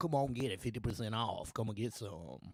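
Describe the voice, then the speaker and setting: A man puts on a character voice pitched in the medium range. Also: fairly quick pace. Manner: loud, hyped-up, salesy.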